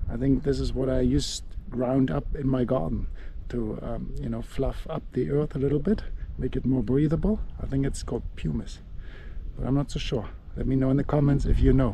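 A man speaks at a medium pitch and moderate pace with fairly even intonation. Vocal fry runs through his voice.

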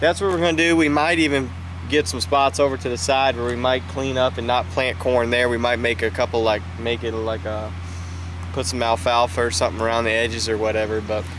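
This man talks at a fairly quick pace. The sound is dry with no echo, though background noise is noticeable. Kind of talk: casual vlog chat. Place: open country.

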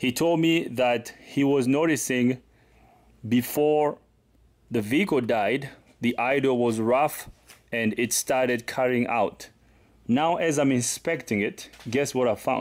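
A man speaks with very even loudness and ordinary pitch variation. He leaves long, frequent pauses. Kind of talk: tutorial. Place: garage. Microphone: phone near.

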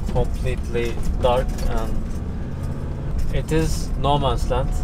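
A man's voice comes through loud background noise, with a dry sound and no echo. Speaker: travel vlogger. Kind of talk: casual vlog chat. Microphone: camera far.

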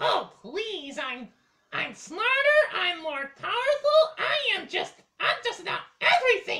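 Putting on a cartoonish character voice at an extremely high pitch, a man talks at a fairly slow pace with very wide pitch swings and long, frequent pauses. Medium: puppet show. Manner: sarcastic, mocking, bratty.

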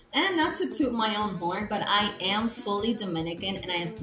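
A woman talks at a moderate pace. Faint music sits in the background. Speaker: vlogger. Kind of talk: casual vlog chat. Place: home room. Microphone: lapel.

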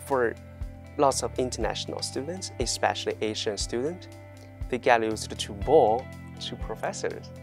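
Speaking with a Chinese accent, a man talks at a moderate pace and medium pitch. The sound is dry with no echo, and faint music plays in the background. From China. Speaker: university student. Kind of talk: interview answer. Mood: friendly, smiling. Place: classroom. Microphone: lapel.

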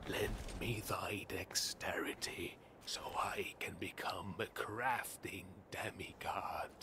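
A man whispers at a very slow pace. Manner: archaic, haughty.

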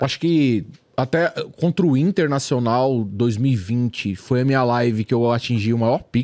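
A man with a plain, everyday voice speaks fairly slowly at a medium pitch, his intonation lively. The background is quiet. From São Paulo East Zone, Brazil. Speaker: YouTuber, football fan channel creator. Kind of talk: casual chat. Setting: studio.

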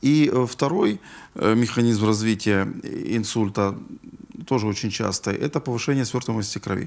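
Pitch varies by ordinary amounts as a man speaks at a moderate pace. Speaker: neurologist. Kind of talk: live TV health call-in interview. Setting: TV studio. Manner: hesitant, with filler sounds. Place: studio. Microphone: lapel.

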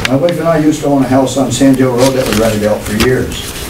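A man at a fairly quick pace amid noticeable background noise. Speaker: local resident and landlord. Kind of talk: public comment. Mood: concerned, argumentative. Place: meeting room.

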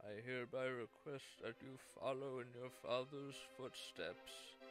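A man puts on a character voice at a medium pitch and fairly slow pace. Clear music plays behind him. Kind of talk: royal proclamation. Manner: formal, grave, ceremonious.

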